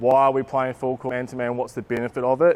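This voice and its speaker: This man has a medium pitch and speaks with a New Zealand accent. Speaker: basketball coach developer. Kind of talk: coaching clinic talk. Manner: casual, many fillers.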